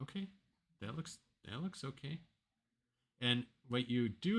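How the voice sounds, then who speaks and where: A man speaks with vocal fry. His pitch varies in an ordinary way. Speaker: proteomics software tutorial maker. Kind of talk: screen-recorded software tutorial. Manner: casual, thinking aloud with fillers. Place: home room. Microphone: webcam.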